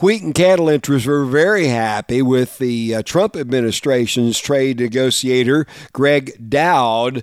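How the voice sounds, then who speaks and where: A man speaks in an ordinary speaking voice at medium pitch with ordinary pitch variation and hardly any pauses, the sound dry and close with no echo. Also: fairly slow pace. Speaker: farm news radio host. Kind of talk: news reading.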